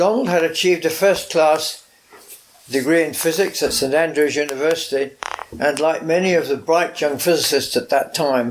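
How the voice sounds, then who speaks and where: Over noticeable background noise, a man talks at a moderate pace and a fairly high pitch with ordinary pitch variation. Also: very even loudness. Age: 90s. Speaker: retired professor. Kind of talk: recorded personal reminiscence.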